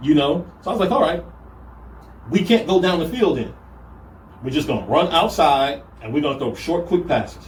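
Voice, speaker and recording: Lively intonation at a moderate pace, long and frequent pauses, and audible room echo. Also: man, high pitch for a man. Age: 40s. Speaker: football coach. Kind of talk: casual chat.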